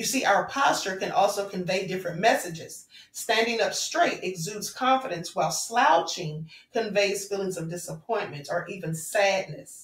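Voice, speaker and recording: A woman at a moderate pace, with audible room echo. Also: medium pitch for a woman, ordinary pitch variation. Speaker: spiritual vlogger. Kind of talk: spiritual talk to viewers.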